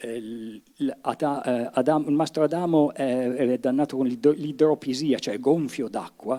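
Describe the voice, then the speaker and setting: A fairly high-pitched man at a very slow pace, with ordinary pitch variation, in a very clean recording with a silent background. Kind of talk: lecture introduction to a dialect reading. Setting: live event with audience. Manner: casual, conversational, hesitant.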